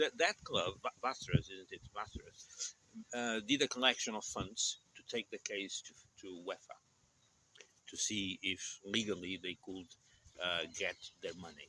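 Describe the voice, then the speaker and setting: A man with a Portuguese accent at a fairly slow pace, with long, frequent pauses and big swings in loudness. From Portugal. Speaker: channel host, vlogger. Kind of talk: casual chat. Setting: outdoors in a park.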